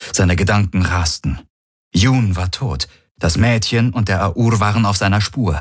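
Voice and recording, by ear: Someone is reading aloud in a natural voice with ordinary pitch variation over a quiet background.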